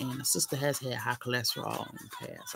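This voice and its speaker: Music plays in the background as a woman with an American accent talks at a fairly quick pace in a relaxed tone. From New York, raised largely in US South. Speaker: live streamer. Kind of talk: casual chat. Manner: rambling, relaxed.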